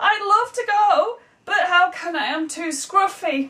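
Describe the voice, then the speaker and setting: A woman talks in a put-on character voice, squeaky and extremely high-pitched. Her pace is fairly slow. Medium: read story. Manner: excitable, squealing.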